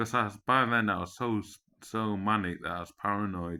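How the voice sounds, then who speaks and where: A man with an English accent speaks at a fairly quick pace. His pitch is fairly low and his tone bright and sharp. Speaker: vlogger. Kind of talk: personal monologue. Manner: animated.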